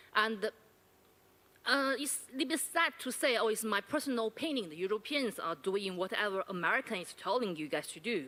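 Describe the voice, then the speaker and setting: With a Chinese accent, a woman speaks in a bright, sharp tone at a fairly high pitch, her voice making very wide pitch swings and big swings in loudness. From China. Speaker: university lecturer asking audience question. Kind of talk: audience question at panel forum. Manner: halting.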